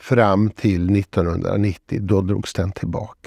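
The man's tone is dark and mellow. The sound is dry with no echo, and the background is quiet. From Sweden, Borås (Västergötland); Sweden. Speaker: retired professor and author; retired professor. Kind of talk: interview. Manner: hesitant, frequent filler sounds. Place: studio. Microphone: lapel.

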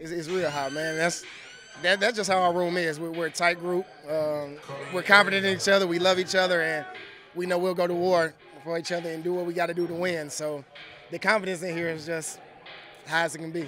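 A man's high-pitched, monotone, flat delivery at a fairly quick pace, dry with no echo, over clear background music. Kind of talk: interview answer.

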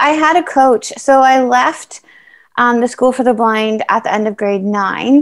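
Against a quiet background, a woman speaks at a high pitch in a Canadian accent. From Canada. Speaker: para triathlete; interviewee. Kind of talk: interview, casual chat; interview answer. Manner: hesitant with many fillers. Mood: warm, relaxed. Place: home room. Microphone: video call.

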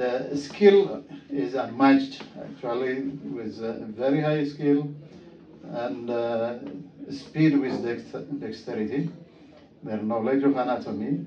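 A very slow delivery with long, frequent pauses, an Ethiopian accent, ordinary pitch variation, audible room echo and light background noise. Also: man, medium pitch for a man. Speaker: visiting surgeon, observer. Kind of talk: interview testimonial. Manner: hesitant, many fillers. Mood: appreciative, calm. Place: office.

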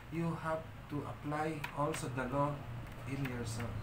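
Over noticeable background noise, a man with a Filipino accent speaks at a fairly slow pace in a fairly high pitch. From Philippines. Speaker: spiritual leader / priest of a shrine. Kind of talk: livestream ritual and talk. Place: home room. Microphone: phone near.

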